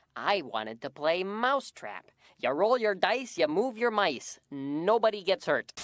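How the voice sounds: A cartoonish character voice at middle pitch talks at a moderate pace. The recording is very clean, with a silent background.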